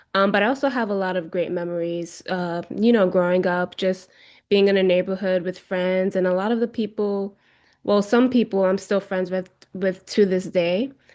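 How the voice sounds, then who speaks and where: Over a quiet background, a woman talks at a moderate pace and medium pitch. Her intonation stays fairly even. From New York City, Bronx. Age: 30s. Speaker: poet and writer. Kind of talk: interview, personal storytelling. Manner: hesitant, many fillers.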